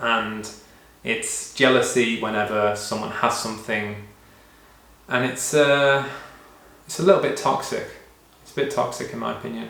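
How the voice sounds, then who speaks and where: With a British accent, a man speaks in a fairly even intonation, his loudness swinging widely, with long, frequent pauses, audible room echo and noticeable background noise. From UK. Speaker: vlogger. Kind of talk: personal vlog monologue. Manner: casual, many fillers.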